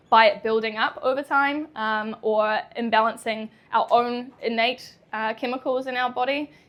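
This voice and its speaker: A woman speaks with a New Zealand accent at a fairly high pitch, her intonation fairly even. The recording is very clean, with a silent background. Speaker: chiropractor. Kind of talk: public talk. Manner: hesitant, many fillers.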